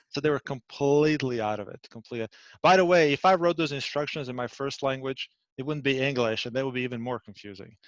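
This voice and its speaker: A man's medium-pitched voice in a Bosnian accent, very fast with ordinary pitch variation, dry and close with no echo. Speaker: IT system administrator. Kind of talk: casual interview chat.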